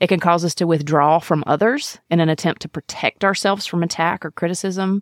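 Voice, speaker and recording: With a Mississippi accent, a woman speaks in fairly even intonation on a very clean recording with a silent background and a dry, close sound with no echo. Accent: Southern US (Mississippi). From US South, Mississippi. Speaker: podcast host, physician. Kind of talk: monologue.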